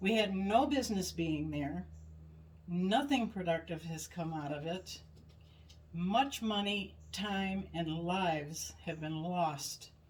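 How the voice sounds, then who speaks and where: A woman's medium-pitched voice with lively intonation, at a very slow pace, in audible room echo. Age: 70s. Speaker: podcast co-host. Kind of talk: casual chat. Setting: in-person at home.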